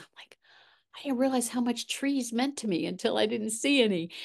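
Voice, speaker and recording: This woman has an unremarkable speaking voice. She speaks at a moderate pace with lively intonation. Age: 60s. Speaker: artist and art mentor. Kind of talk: casual chat.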